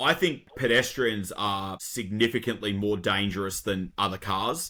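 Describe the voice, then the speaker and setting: Talking fairly slowly, a man with an Australian accent uses a fairly low pitch and ordinary pitch variation. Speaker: garbage truck driver. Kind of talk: podcast conversation.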